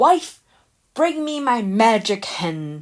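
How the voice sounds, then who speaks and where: A woman's bellowing put-on character voice, fairly high in pitch, with very wide pitch swings. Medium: read story. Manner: bellowing, gruff.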